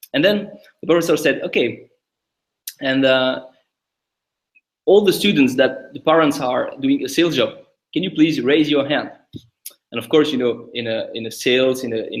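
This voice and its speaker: At a moderate pace, a man talks in a French accent. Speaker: tech company founder. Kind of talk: podcast interview. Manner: halting, many repetitions.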